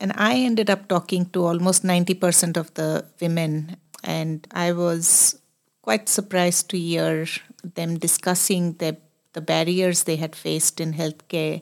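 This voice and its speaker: Fairly low female voice, monotone and flat, at a fairly slow pace on a very clean recording with a silent background. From India. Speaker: medical professor, program founder. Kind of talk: interview conversation.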